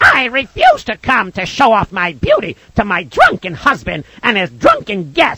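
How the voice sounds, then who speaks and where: A put-on character voice at a fairly high pitch runs on with hardly any pauses. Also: moderate pace. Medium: read story.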